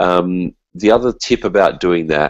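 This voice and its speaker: Very deep and low, a man's voice carries an Australian accent and lively intonation, with dry, echo-free sound and a quiet background. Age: 40s. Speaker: musician and teacher; teacher. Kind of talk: casual interview. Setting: video call. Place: kitchen. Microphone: video call.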